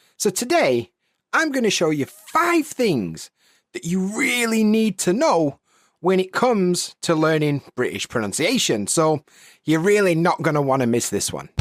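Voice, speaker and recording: On a very clean recording with a silent background and a dry, close sound with no echo, a man with a Yorkshire accent talks at a fairly slow pace in a high pitch with very wide pitch swings. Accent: Northern English (Yorkshire). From Sheffield, England. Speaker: English teacher. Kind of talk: educational podcast. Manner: casual, friendly.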